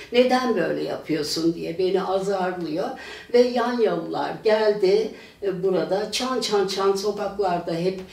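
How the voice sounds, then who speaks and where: A woman speaks at a very slow pace with medium pitch and ordinary pitch variation. The room echo is audible and there is noticeable background noise. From Turkey, Pendik (Istanbul). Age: 80s+. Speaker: retired teacher. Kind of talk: oral history testimony. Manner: halting, many filler sounds.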